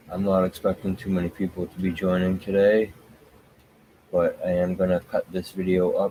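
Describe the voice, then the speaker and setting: This man is soft-spoken, with a very deep, low pitch. His tone is dark and mellow. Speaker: political commentary streamer. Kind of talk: live stream commentary. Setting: live stream at home. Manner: soft-spoken, talking low; low energy.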